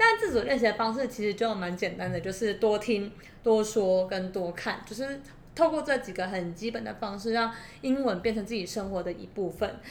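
Audible room echo surrounds a woman whose fairly high voice shows ordinary pitch variation. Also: moderate pace. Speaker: podcast co-host. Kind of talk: casual chat.

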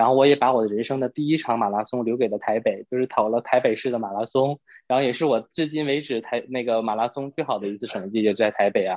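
Barely pausing at all, a man speaks at a very fast pace with a medium pitch. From Northeast China. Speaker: podcast guest. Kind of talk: casual chat. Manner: animated.

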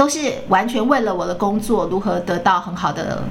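There is audible room echo and noticeable background noise as a woman speaks at a medium pitch. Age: 50s. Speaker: podcast host. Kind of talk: casual interview chat.

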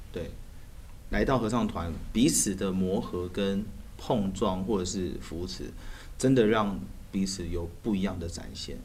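A man's very deep, low voice in a Taiwanese accent, fairly slow with long, frequent pauses and ordinary pitch variation. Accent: Taiwanese Mandarin. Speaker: musician and a cappella singer. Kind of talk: casual interview chat.

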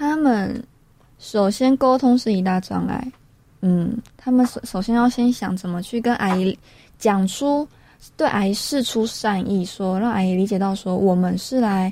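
A woman's unremarkable speaking voice, fairly slow in pace, with ordinary pitch variation. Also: medium pitch for a woman. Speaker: radio co-host. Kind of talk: radio talk show.

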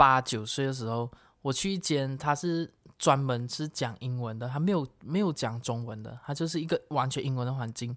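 Moderate in pace, the voice comes through in a very clean recording with a silent background. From Malaysia. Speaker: podcast co-host. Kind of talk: casual chat.

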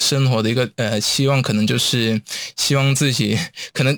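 A man with an ordinary speaking voice talks at a moderate pace. The sound is dry and close with no echo, on a very clean recording with a silent background. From Hong Kong. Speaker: university student. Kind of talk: interview.

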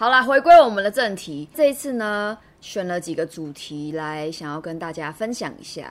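A woman with a Taiwanese accent speaks at medium pitch and a moderate pace, with hardly any pauses. Her pitch swings very widely and her loudness shifts greatly. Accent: Taiwanese Mandarin. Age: 30s. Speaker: fortune teller and podcast co-host. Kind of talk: casual chat.

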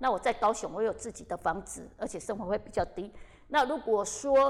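Here a woman has an unremarkable speaking voice with a fairly high pitch. Her pitch varies in an ordinary way. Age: 50s. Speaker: actress. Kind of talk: casual interview chat.

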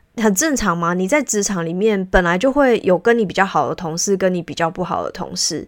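A woman with a Taiwanese accent speaks at a medium pitch. Her pace is fairly quick, with hardly any pauses. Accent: Taiwanese Mandarin. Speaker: podcast host and career consultant for civil servants. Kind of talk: solo podcast monologue. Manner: frequent filler hesitations; conversational, reflective.

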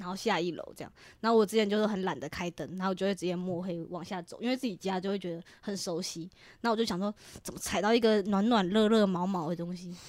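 A woman of medium pitch talks at a very fast pace in an animated tone, on a very clean recording with a silent background. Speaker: podcast co-host. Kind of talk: casual chat. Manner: animated, laughing often.

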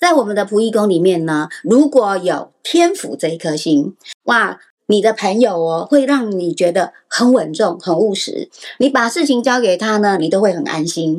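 At a moderate pace, a woman speaks with a medium pitch that swings very widely. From Taiwan, Taipei. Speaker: astrology teacher. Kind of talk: podcast interview explaining astrology.

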